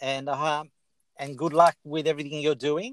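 A man with an Australian accent speaks at a moderate pace in a fairly high pitch with fairly even intonation, in a dry, close sound with no echo. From Italy, raised in Australia. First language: Italian. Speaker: podcast host. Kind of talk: interview. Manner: talkative.

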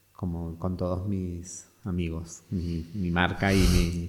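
His intonation stays fairly even. This man has a very deep, low pitch. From Argentina, Mendoza. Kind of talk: interview, personal story. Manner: halting.

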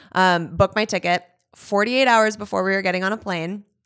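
A woman with an American accent uses an ordinary speaking voice at medium pitch and fairly even intonation, on a very clean recording with a silent background. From US West Coast, Los Angeles area (California). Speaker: author. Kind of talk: casual interview chat.

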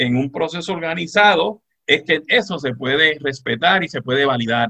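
A man speaks in a Puerto Rican accent with a fairly high pitch. His intonation is lively. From Puerto Rico, Moca. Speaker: retired judge and law professor. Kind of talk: radio interview. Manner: halting.

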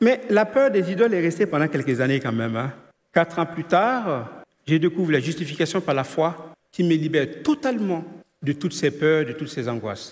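Using an ordinary speaking voice, a man talks at a moderate pace with lively intonation and a fairly high pitch. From Ivory Coast. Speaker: church member. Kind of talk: testimony.

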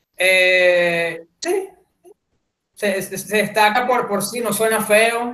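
Raising and projecting his high voice, a man with a Venezuelan accent speaks very slowly with ordinary pitch variation. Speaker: podcast guest. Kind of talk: casual chat.

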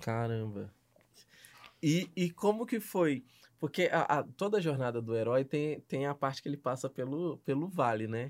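Over a silent background in a very clean recording, a man talks at a moderate pace with lively intonation. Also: fairly high pitch for a man. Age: 20s. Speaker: podcast host. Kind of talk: casual chat. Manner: animated.

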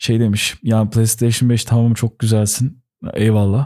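On a very clean recording with a silent background, a man speaks at medium pitch in a dark, mellow tone. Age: 20s. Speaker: gaming podcast co-host. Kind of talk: casual chat.

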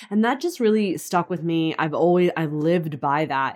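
On a very clean recording with a silent background, a woman with an American accent speaks in an unremarkable speaking voice, fairly low in pitch, with ordinary pitch variation. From California. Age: 30s. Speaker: online fitness and business coach. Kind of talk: interview.

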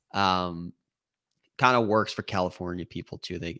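With a plain, everyday voice, a man speaks at a moderate pace with ordinary pitch variation in a very clean recording with a silent background. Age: 30s. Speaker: golf betting writer. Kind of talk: casual chat.

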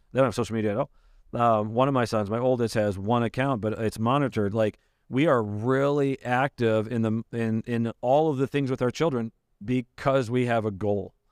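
At a fairly quick pace, a man speaks in a plain, everyday voice at medium pitch with fairly even intonation and very even loudness, the sound dry and close with no echo on a very clean recording with a silent background. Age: 40s. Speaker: pastor. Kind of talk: casual chat.

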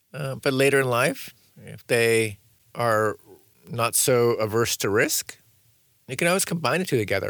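The recording is very clean with a silent background, as a man with an American accent speaks at a medium pitch with ordinary variation and long, frequent pauses. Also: moderate pace. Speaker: author and designer. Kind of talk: interview conversation. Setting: studio.

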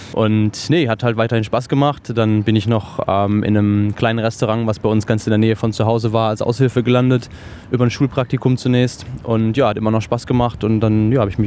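Flat and monotone, a man's voice sits at a medium pitch. He talks at a fairly quick pace. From western Germany, near Cologne. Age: 30s. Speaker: chef. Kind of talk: interview. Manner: hesitant with filler words and repetitions.

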